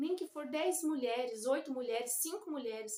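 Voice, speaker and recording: The woman keeps a moderate pace, and her pitch variation is ordinary. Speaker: children's ministry teacher. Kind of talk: Bible study talk. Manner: informal, halting.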